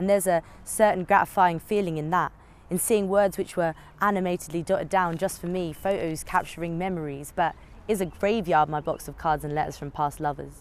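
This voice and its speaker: At a fairly quick pace, a woman speaks in an ordinary speaking voice with a fairly low pitch and fairly even intonation. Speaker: spoken word poet. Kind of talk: spoken word poetry performance.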